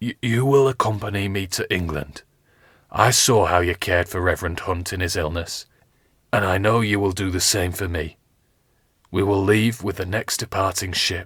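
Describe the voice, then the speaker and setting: Whispering in a hoarse, put-on character voice, a man speaks at a moderate pace. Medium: read story. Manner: grave, commanding.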